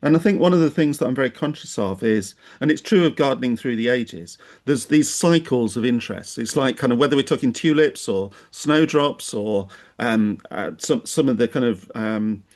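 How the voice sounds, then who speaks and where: A man talks at a medium pitch and a moderate pace with lively intonation. The background is quiet. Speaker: podcast host. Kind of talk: podcast interview questions. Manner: hesitant, conversational.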